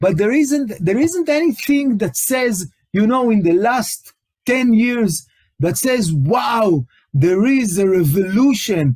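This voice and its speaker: With an Israeli accent, a man talks very slowly at a high pitch, his pitch swinging very widely while his loudness stays very even. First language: Hebrew. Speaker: tech company CTO, webinar presenter. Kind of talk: webinar presentation. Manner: halting, many fillers and repetitions.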